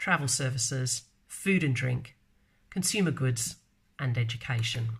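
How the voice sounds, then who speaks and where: A woman with a very deep, low pitch talks at a fairly slow pace, somewhat breathy, with ordinary pitch variation. The recording is very clean with a silent background. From Australia. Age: 40s. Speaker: marketer and vlogger. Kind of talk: casual live video talk. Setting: live stream. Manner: hesitant, many fillers.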